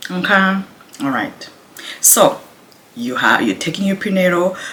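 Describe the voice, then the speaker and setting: A quiet woman at a moderate pace, with noticeable background noise. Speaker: pregnant mother vlogger. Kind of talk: casual talk to camera. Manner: quiet, low voice.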